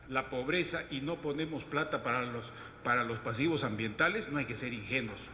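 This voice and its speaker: A man is speaking, and noticeable background noise can be heard. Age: 60s. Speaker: government environmental official. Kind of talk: panel discussion. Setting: round table with audience. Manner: animated.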